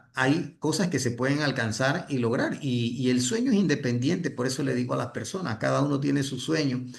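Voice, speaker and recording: Somewhat breathy, a man talks at a moderate pace with hardly any pauses, and the room echo is audible. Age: 60s. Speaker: network marketing leader and trainer. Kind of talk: motivational training talk. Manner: halting, with many restarts.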